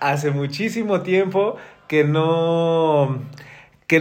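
A man speaks with a high pitch and ordinary pitch variation. Audible room echo surrounds his voice. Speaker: podcast host. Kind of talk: casual chat.

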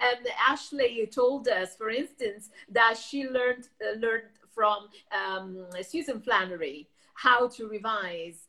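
A woman with an Italian accent speaks very slowly in a bright, sharp tone. Her pitch is fairly high, with ordinary variation. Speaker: web show host and interpreter. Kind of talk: interview.

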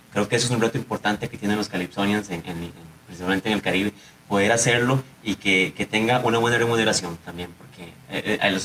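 A man with a fairly low pitch talks in a normal speaking voice. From Costa Rica, Limón (Siquirres). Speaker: musician and university researcher. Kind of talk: radio panel discussion.

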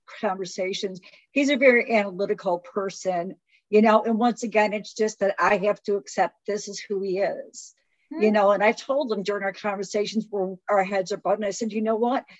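A woman speaks at a fairly quick pace with a medium pitch and fairly even intonation. She has an unremarkable speaking voice. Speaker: podcast co-host. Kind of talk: casual chat.

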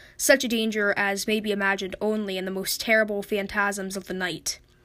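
In a very clean recording with a silent background, a normal speaking voice moves at a fairly quick pace. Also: woman. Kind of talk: literary audiobook reading of a Lovecraft horror story, after a spoken intro.

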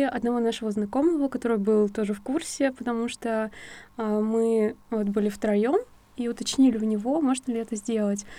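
The recording is very clean, with a silent background, as a woman speaks at a moderate pace. Her fairly high voice has a dark, mellow tone and fairly even intonation. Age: 20s. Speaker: psychologist. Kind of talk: interview storytelling.

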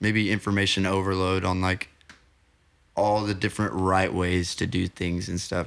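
A man with an American accent speaks in a very deep, low pitch and a monotone, flat intonation. The recording is very clean, with a silent background. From Oklahoma (Ada). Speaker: musician and songwriter. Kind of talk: casual interview chat. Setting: home recording studio.

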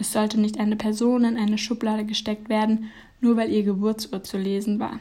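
A woman talks fairly quickly at a fairly high pitch in a monotone, flat intonation. Her voice is somewhat breathy, with a dark, mellow tone. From Germany. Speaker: podcaster. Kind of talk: reflective essay monologue.

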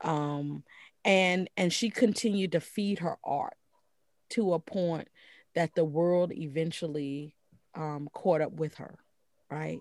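A woman with an American accent at a very slow pace, long, frequent pauses and ordinary pitch variation, on a very clean recording with a silent background and a dry, close sound with no echo. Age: 50s. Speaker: jazz scholar and author. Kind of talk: interview.

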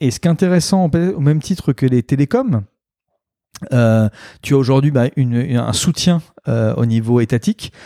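With a dark, mellow tone and lively intonation, a man speaks with long, frequent pauses, recorded very cleanly against a silent background with a dry, close sound and no echo. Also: medium pitch for a man, moderate pace. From Normandy, France. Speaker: entrepreneur. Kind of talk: interview. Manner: halting.

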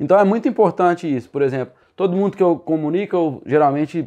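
Against a quiet background, a man talks very fast with a dark, mellow tone and ordinary pitch variation. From Minas Gerais, Brazil (Sete Lagoas). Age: 20s. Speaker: digital marketing entrepreneur. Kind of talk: casual podcast interview.

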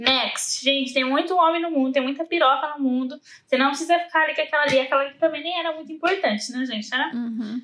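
A woman's high, bright, sharp voice at a very fast pace, with ordinary pitch variation and hardly any pauses. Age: 20s. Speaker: reality TV personality. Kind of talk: casual chat.

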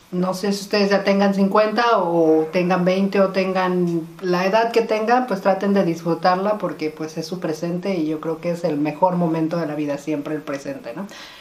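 A woman's fairly low voice with ordinary pitch variation over noticeable background noise. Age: 50s. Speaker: podcast host. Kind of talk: casual chat.

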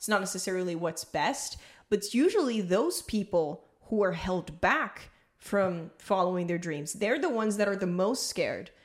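Speaking at a medium pitch with lively intonation, the woman has an ordinary speaking voice. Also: moderate pace. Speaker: podcast host. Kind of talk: casual interview chat.

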